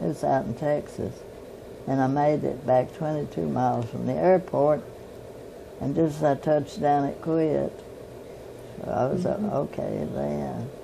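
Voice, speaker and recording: The speaker is a woman with a Southern US accent. Her pace is fairly slow. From Tennessee. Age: 80s+. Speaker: pilot, flight instructor. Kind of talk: interview answer.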